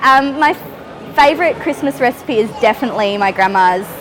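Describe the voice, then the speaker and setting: Music plays in the background as a woman speaks with an Australian accent. Her pitch varies in an ordinary way. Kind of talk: interview answer. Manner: casual, chatty.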